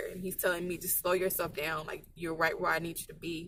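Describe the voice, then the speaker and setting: Her tone is bright and sharp. This woman's pitch is fairly low. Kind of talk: personal vlog monologue. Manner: fast; emotional, tearful at times.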